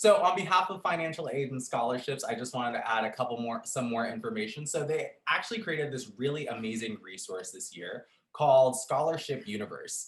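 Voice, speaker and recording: Barely pausing, a somewhat breathy man talks at a fairly quick pace and medium pitch, with very wide pitch swings. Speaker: program coordinator at campus resource center. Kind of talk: orientation presentation. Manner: fast.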